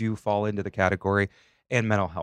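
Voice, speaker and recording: Speaking at a fairly quick pace, a man with a plain, everyday voice and fairly low pitch is heard on a very clean recording with a silent background. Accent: American. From Northwest Ohio, US. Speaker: podcast host, aspiring mental health counselor. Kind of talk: casual interview chat; read disclaimer. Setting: studio.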